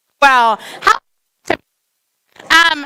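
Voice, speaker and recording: A woman's raised, projected voice with lively intonation. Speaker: clergy leading service. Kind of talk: congregational teaching at celebration. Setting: synagogue sanctuary with crowd and band. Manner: loud; chatty.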